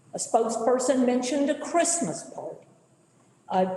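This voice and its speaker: Lively intonation comes through over noticeable background noise and audible room echo. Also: woman. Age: 70s. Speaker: public commenter. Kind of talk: public comment at county board meeting. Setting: county board meeting.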